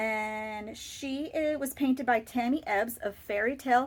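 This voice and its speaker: Lively in intonation, a woman with an American accent speaks at a high pitch and a fairly slow pace. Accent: Boston accent, comes out slightly. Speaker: doll collector YouTuber. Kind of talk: casual show-and-tell video.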